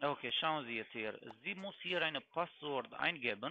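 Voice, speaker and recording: This man talks at a fairly slow pace with a non-native accent. His pitch sits fairly high and his intonation is lively. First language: not German (speaking German). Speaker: scam caller posing as financial expert. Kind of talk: sales pitch.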